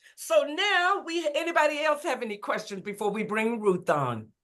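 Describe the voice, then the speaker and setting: In a Southern US accent, a woman projects a raised, high, bright and sharp voice with very wide pitch swings at a moderate pace. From Mississippi. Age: 60s. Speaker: motivational speaker. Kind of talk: casual chat.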